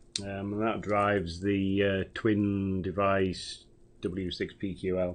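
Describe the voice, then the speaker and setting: A man mumbles in a British accent at a fairly low pitch. The background is quiet. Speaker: amateur radio operator. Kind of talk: radio net check-in report. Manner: mumbling.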